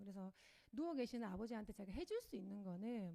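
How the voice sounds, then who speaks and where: A woman speaks very fast with a Gyeongsang accent. Her fairly high pitch rises and falls in a lively way. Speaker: network marketing speaker. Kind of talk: motivational talk. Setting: lecture hall with audience. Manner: hesitant, many fillers.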